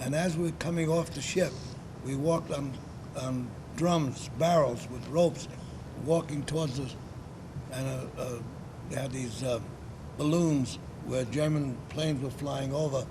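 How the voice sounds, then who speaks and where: Speaking with a New York accent, a man with a fairly high pitch keeps a fairly slow pace and fairly even intonation, taking long, frequent pauses amid audible room echo. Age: 90s. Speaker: war veteran. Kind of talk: interview. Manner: halting.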